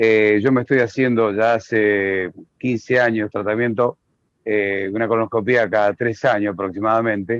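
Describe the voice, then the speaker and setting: A man speaks at a moderate pace and fairly low pitch, with monotone, flat intonation. His loudness stays very even, and the sound is dry and close with no echo. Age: 60s. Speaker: audience member. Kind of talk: question.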